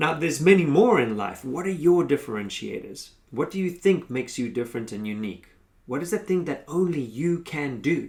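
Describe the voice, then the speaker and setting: A man with a South African accent, fairly high in pitch, at a fairly quick pace with very wide pitch swings. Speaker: consultancy founder and workshop facilitator. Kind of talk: motivational tutorial.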